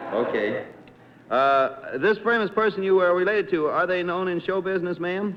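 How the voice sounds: Noticeable background noise beneath speech at a moderate pace. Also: man, high pitch for a man, ordinary pitch variation.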